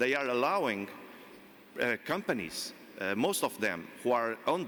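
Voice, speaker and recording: A man with a Portuguese accent talks at a moderate pace in a bright, sharp tone. His pitch swings very widely. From Portugal. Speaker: panel expert. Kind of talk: panel discussion. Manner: halting.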